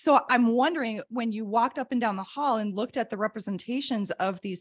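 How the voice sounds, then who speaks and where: In an American accent, a woman with a plain, everyday voice speaks at a fairly high pitch with lively intonation, the sound dry and close with no echo. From US Midwest. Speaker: podcast co-host and educator. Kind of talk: casual chat.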